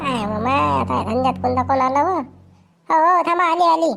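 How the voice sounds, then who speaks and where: Music plays in the background. A woman puts on a character voice, high-pitched and at a moderate pace. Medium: comedy sketch. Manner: chatty, rustic Vidarbha dialect.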